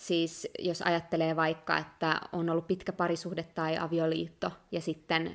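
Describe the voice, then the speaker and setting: On a very clean recording with a silent background, a woman speaks at a moderate pace in a fairly low-pitched voice. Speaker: podcast co-host. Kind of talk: casual chat.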